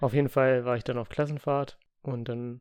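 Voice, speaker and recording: Quietly, a man talks at a moderate pace in a medium pitch with fairly even intonation. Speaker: podcast co-host. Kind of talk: casual chat. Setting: home room. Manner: quieter in podcast.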